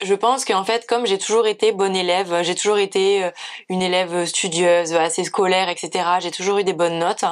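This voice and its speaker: Fairly even intonation from a woman with a medium-pitched voice. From southern France, near Narbonne. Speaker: vegan food and pastry content creator. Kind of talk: casual FAQ vlog.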